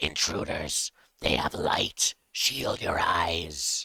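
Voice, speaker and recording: A put-on character voice, guttural and raspy. It moves at a very slow pace. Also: man. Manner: hissing, alarmed.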